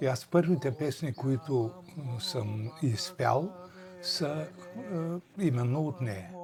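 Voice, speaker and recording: Amid noticeable background noise, a man speaks very slowly at medium pitch with lively intonation. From Bulgaria, Harmanli area. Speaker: folk singer. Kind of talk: documentary interview.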